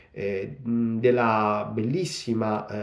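A man with a fairly low pitch talks very slowly and with fairly even intonation. The background is quiet, but room echo is audible. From Italy, Rome. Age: 40s. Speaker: novelist. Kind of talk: book presentation monologue. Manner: halting, many fillers. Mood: grateful, warm. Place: home room. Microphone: phone near.

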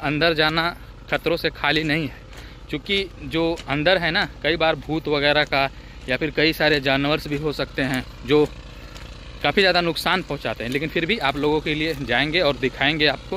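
Speech moves at a fairly slow pace in a dry sound with no echo and light background noise. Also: man. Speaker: travel vlogger. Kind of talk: casual vlog chat. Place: open country. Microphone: phone near.

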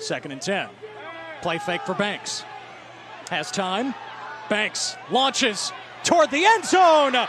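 A man speaks at a very slow pace with long, frequent pauses, his extremely high pitch swinging very widely, in a dry sound with no echo over noticeable background noise. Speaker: play-by-play announcer. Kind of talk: sports commentary. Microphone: headset.

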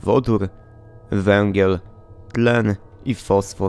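A man talks at a very slow pace in a fairly low voice. His intonation stays fairly even. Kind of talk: read horror story narration.

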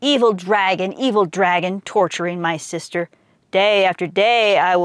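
A natural voice reads the passage aloud.

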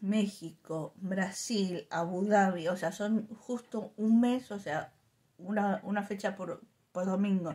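Very slow, somewhat breathy delivery in a Rioplatense accent, with a dark, mellow tone and fairly even intonation. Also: woman. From Argentina. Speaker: YouTuber reviewing drinks. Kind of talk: casual product review vlog. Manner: chatty, informal.

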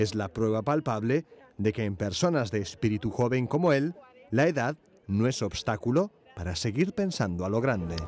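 This man has an ordinary speaking voice at a medium pitch. His intonation is lively and his pace moderate. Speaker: news reporter. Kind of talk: TV news narration.

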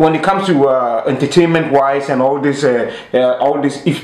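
A man with a Ghanaian accent speaks at medium pitch and a moderate pace. Strong room echo surrounds his voice.

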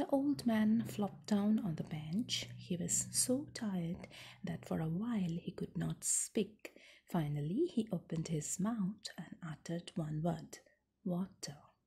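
A woman speaks softly in a dark, mellow tone. Her pitch is fairly low. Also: fairly slow pace. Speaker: storyteller. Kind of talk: story read-aloud. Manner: soft, hushed ASMR storytelling voice. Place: home room. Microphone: phone near.

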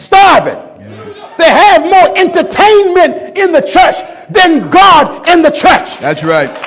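With crowd noise behind him, a man speaks at an extremely high pitch with ordinary pitch variation. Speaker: preacher. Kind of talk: sermon. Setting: church. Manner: emphatic, repetitive hammering of key phrases. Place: church. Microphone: podium.

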